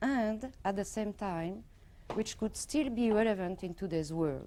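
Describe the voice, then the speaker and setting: A woman speaks with a French accent at a fairly slow pace, her tone dark and mellow. Her pitch sits in the medium range with ordinary variation. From Morocco and France. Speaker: professor. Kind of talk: lecture. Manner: formal.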